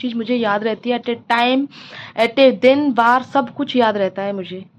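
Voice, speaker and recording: She speaks at a moderate pace. Her female voice sits high in pitch. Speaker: housewife vlogger. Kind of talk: casual vlog monologue.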